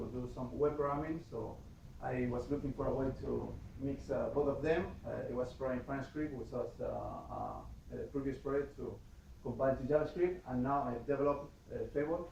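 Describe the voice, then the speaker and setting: Against noticeable background noise and audible room echo, a man with a Spanish accent speaks at a moderate pace. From Spain, Madrid. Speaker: software developer, conference speaker. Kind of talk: tech talk presentation. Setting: meetup with live audience. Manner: halting, many fillers.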